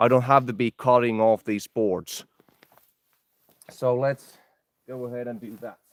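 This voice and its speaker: A man talks fairly slowly with a Finnish accent, leaving long, frequent pauses. His medium-pitched voice is flat and monotone, and the sound is dry and close with no echo. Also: big swings in loudness. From Finland. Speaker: outdoor vlogger. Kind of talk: live stream chat while building.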